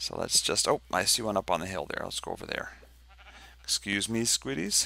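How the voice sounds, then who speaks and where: A man talks at a moderate pace with vocal fry. The recording is very clean, with a silent background. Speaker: game mod developer. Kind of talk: tutorial. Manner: casual, hesitant.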